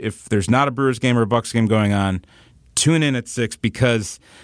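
A man's plain, everyday voice with an American accent, medium pitch, ordinary pitch variation and a moderate pace. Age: 40s. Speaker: media company employee sharing family memories. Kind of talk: casual interview.

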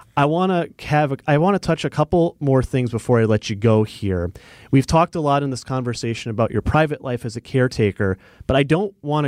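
In a normal speaking voice, a man talks at a fairly quick pace and medium pitch with lively intonation, the sound dry and close with no echo on a very clean recording with a silent background. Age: 30s. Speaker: radio host. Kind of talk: interview. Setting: studio.

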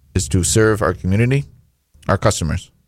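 With a Michigan accent, a man speaks at a fairly quick pace with ordinary pitch variation. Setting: radio studio. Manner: hesitant, filler-heavy.

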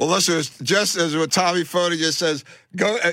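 The man's voice has a bright, sharp tone. He keeps up a fairly quick pace. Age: 60s. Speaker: radio host. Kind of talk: talk radio show. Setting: studio. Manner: animated.

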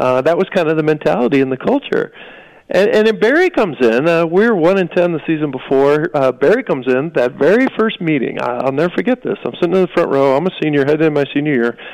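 In an American accent, a man talks at a very fast pace with lively intonation. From Wisconsin. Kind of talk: casual interview storytelling.

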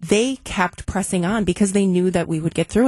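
A somewhat breathy woman's voice at medium pitch, dry and close with no echo. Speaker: business advocate. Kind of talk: panel discussion.

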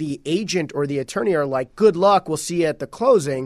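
A man's fairly high-pitched, an ordinary speaking voice with lively intonation, on a very clean recording against a silent background. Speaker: real estate agent, guest co-host. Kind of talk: casual chat.

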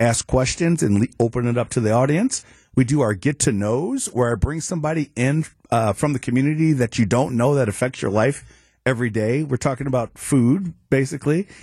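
Dry and close with no echo over a quiet background, a man with an American accent speaks at a fairly quick pace in a medium pitch, his dark, mellow tone somewhat breathy, with ordinary pitch variation and very even loudness. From Chicago. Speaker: former judge, guest co-host. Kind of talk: casual chat. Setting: radio studio.

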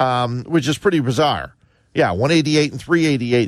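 Using an ordinary speaking voice, a man with an American accent talks fairly slowly at a medium pitch with ordinary pitch variation. The background is quiet. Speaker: sports radio host. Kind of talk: call-in sports talk radio. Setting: studio.

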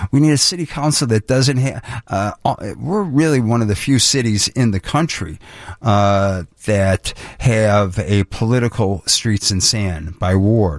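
This man's loudness stays very even throughout. He talks at a fairly slow pace with lively intonation. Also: fairly low pitch for a man. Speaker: mayoral candidate. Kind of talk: interview. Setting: studio. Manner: halting.

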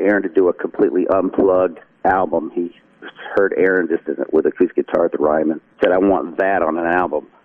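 A man's fairly low voice comes through with noticeable noise in the background. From North Carolina. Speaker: country songwriter and musician. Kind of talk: casual interview.

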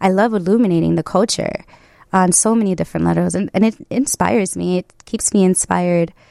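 With a Chicago accent, the speech moves at a fairly quick pace in a very clean recording, a silent background, and a dry, close sound with no echo. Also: woman. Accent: Chicago American. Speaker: photographer. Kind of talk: interview.

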